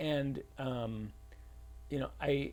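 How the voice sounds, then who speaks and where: Here a man speaks in a dark, mellow tone. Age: 50s. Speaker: fitness coach and personal trainer. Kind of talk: casual interview chat.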